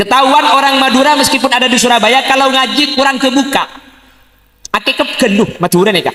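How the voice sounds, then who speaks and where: Using a raised, projected voice, a man speaks at an extremely high pitch. His pace is very fast, and his pitch variation is ordinary. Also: very even loudness. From Madura, Bangkalan. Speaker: Islamic preacher. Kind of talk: religious sermon. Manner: humorous.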